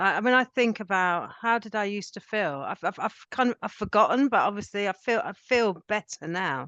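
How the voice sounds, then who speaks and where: Bright and sharp in tone, a woman speaks at a medium pitch and a fairly quick pace with lively intonation and hardly any pauses, in a dry, close sound with no echo. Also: quiet background. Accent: southern English. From England, Cambridge. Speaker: guest in recovery from alcohol. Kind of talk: casual chat.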